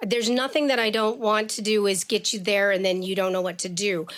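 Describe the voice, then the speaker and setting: The pitch varies in an ordinary way in this very clean recording with a silent background. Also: woman. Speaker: education activist and spokesperson. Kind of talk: interview. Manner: loud.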